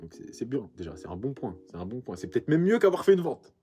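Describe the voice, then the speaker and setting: A somewhat breathy man's voice at a very fast pace with lively intonation. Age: 20s. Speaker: vintage clothing shop owner. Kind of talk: vlog monologue to camera. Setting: backstage after a pop-up event. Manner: casual, halting with repetitions.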